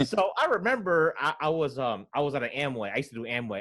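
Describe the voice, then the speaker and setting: A man's bright, sharp, medium-pitched voice with an American accent, vocal fry and very wide pitch swings. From United States. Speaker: podcast host. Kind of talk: casual interview chat. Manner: hesitant, self-interrupting.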